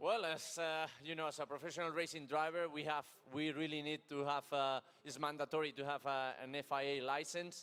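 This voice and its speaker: This man has a fairly high pitch and a bright, sharp tone, speaking at a fairly quick pace in a monotone, flat intonation. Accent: Spanish. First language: Spanish. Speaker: racing driver. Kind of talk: interview.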